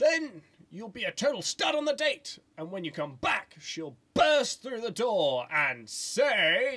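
This cartoonish character voice sits at a fairly high pitch. It moves at a fairly slow pace with hardly any pauses. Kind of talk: comic overacting. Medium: puppet show. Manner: sardonic, doom-mongering, melodramatic.

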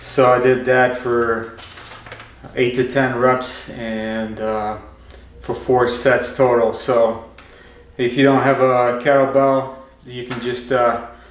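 Over light background noise and audible room echo, a man speaks very slowly in a monotone, flat voice, leaving long, frequent pauses. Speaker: fitness vlogger. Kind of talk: casual vlog chat. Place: garage. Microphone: camera far.

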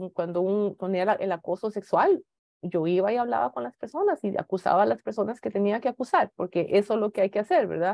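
A woman at a fairly quick pace with ordinary pitch variation, dry sound with no echo, and a quiet background. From Costa Rica. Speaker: space agency engineer and executive; keynote speaker. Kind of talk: keynote talk; keynote talk, personal story. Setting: video call. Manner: halting, many fillers. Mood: earnest, reflective. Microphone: video call.

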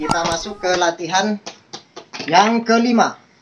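A man speaks with ordinary pitch variation. Loud background noise is present. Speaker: home fitness instructor. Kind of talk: tutorial. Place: garden. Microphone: camera far.

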